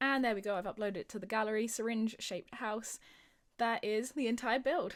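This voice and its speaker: On a very clean recording with a silent background, a woman with a British accent speaks at a fairly quick pace. Her pitch is fairly high, with ordinary pitch variation. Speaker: gaming youtuber. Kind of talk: casual gameplay commentary. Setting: home recording. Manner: fast; animated.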